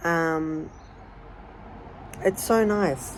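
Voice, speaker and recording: A woman talks in an Australian accent with ordinary pitch variation. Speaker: vlogger. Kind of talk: casual vlog monologue. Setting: outdoors.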